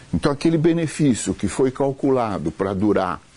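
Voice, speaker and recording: Very wide pitch swings mark this man's voice, heard over noticeable background noise. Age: 70s. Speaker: university lecturer. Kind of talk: lecture.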